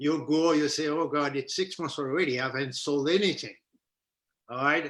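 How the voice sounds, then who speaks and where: In a Haitian accent, this voice has a bright, sharp tone and fairly even intonation against a quiet background. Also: man. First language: Haitian Creole. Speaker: entrepreneur, business owner. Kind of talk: interview. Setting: live stream on social media.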